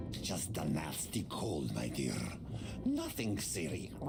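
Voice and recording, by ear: A gruff, put-on character voice speaks at a fairly slow pace. Noticeable background noise runs underneath.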